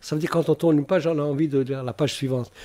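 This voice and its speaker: A man's voice at medium pitch carries a dark, mellow tone. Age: 70s. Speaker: novelist. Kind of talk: radio interview. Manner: halting.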